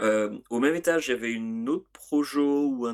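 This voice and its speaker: A man speaks at a moderate pace and medium pitch with ordinary pitch variation, in a very clean recording with a silent background. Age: 40s. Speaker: music podcast co-host. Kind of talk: casual chat. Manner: hesitant, many fillers.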